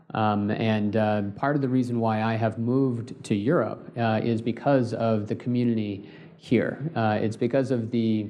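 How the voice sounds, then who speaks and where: With a Californian accent, a man speaks in a flat monotone at very even loudness, barely pausing at all. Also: medium pitch for a man, moderate pace. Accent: Californian American. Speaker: space company co-founder. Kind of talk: panel discussion. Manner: hesitant, many fillers.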